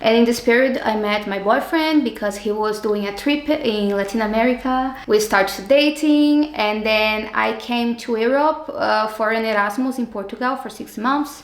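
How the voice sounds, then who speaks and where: A woman at a fairly high pitch with ordinary pitch variation, at a moderate pace with hardly any pauses, against noticeable background noise. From Brazil, Rio de Janeiro suburbs. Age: 30s. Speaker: civil engineer, master's student. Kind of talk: interview. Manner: halting.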